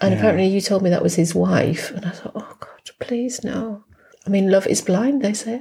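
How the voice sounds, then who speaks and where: Someone with an English accent speaks at a moderate pace, the loudness swinging widely. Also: woman. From England. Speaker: podcast co-host. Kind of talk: casual chat.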